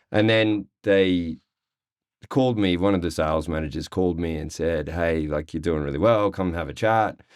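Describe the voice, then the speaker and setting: In an Australian accent, a man speaks with a very deep, low pitch. His pitch varies in an ordinary way. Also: moderate pace. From Australia, Sydney (Cronulla). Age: 40s. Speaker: real estate agent. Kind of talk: interview. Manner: casual.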